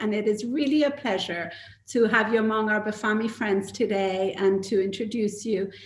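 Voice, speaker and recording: Here is a woman with a fairly high, somewhat breathy voice. Her intonation stays fairly even. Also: moderate pace. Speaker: event moderator / co-chair of an arts organisation. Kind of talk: moderator introducing a live panel talk.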